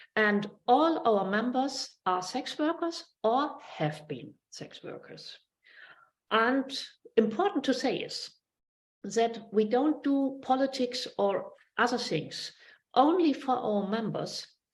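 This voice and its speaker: Someone speaks at a very slow pace with lively intonation. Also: woman, high pitch for a woman. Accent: German. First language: German. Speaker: sex worker and advocacy spokesperson. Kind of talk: online panel introduction. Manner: halting.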